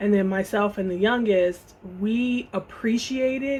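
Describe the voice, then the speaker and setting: A woman speaks with an American accent at a medium pitch. Her voice is somewhat breathy, and her intonation stays fairly even. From Chicago area, US Midwest. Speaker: vlogger. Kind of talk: casual chat. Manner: halting.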